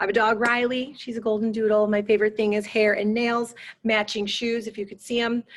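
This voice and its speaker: Animated and fairly quick, a woman talks at a fairly high pitch. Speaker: PE teacher. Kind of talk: school open house presentation. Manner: fast.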